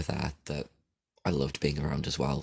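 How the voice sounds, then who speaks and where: Very deep and low, a man's voice carries noticeable vocal fry. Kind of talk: casual podcast talk. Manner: rambling, informal.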